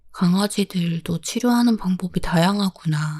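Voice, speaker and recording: A woman's very slow, soft-spoken voice, calm and somewhat breathy, fairly low with a dark, mellow tone. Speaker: podcast host. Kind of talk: solo podcast talk about pets. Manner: soft, calm, sleepy-sounding.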